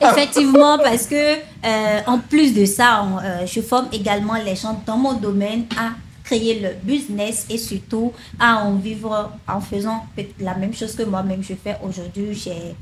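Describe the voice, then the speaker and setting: Fairly slow speech from a woman, pitched fairly high, ordinary in its pitch variation, with noticeable background noise. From Benin. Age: 20s. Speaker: sales funnel consultant and online trainer. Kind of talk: interview.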